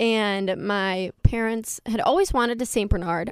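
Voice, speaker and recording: A woman's normal speaking voice, fairly high-pitched, with an American accent and ordinary pitch variation, in a very clean recording with a silent background and a dry, close sound with no echo. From upstate New York, Fulton County. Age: 20s. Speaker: college student and pageant titleholder. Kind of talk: radio interview.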